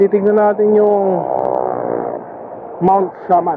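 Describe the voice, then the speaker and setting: Noticeable background noise runs under a dry sound with no echo. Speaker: motovlogger rider. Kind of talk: casual vlog chat. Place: motorbike. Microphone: helmet.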